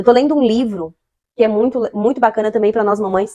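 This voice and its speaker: A woman speaks at a fairly quick pace. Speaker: parenting youtuber. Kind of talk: casual vlog advice. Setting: child's bedroom at night.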